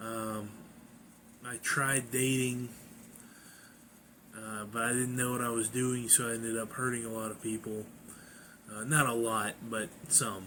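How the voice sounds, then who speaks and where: Audible room echo surrounds a man speaking at a medium pitch with monotone, flat intonation. He keeps a fairly slow pace with long, frequent pauses. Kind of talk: personal testimony. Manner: halting.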